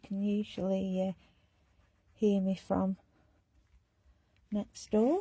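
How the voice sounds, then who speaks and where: This voice belongs to a woman. Its tone is dark and mellow. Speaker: art tutorial creator. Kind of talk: tutorial. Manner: loud; casual, chatty.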